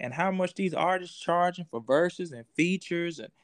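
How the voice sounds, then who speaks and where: A man speaks at a fairly quick pace in a high pitch. The background is quiet. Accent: Southern US. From US South, Georgia. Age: 30s. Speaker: comedian. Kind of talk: casual chat.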